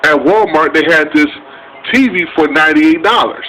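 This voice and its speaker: Speech comes at a fairly quick pace with lively intonation. Noticeable background noise runs underneath. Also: man. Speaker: vlogger. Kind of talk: casual storytelling vlog.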